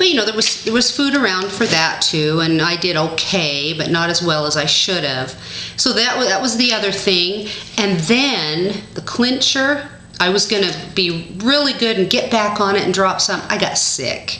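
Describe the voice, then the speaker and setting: A woman with a medium pitch speaks at a moderate pace with lively intonation and very even loudness. Her voice carries audible room echo and noticeable background noise. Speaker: diet vlogger. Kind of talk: casual vlog.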